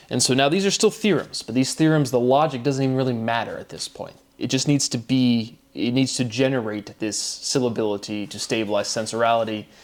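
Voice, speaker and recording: A man with a plain, everyday voice talks at medium pitch and a moderate pace with ordinary pitch variation. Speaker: independent theorist sharing his own work. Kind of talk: solo monologue. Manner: rambling with many fillers.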